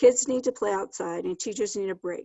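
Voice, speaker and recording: This is an unremarkable speaking voice. A woman speaks at a fairly high pitch with lively intonation. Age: 60s. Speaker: kindergarten teacher. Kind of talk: public comment.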